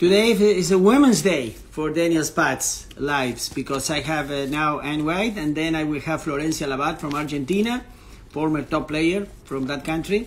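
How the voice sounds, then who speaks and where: At a moderate pace, a man with a strong non-native accent talks in a fairly high pitch with ordinary pitch variation. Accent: strong foreign accent in English. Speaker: tennis interviewer, coach. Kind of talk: live-stream interview intro. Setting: Instagram live stream. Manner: halting, many fillers.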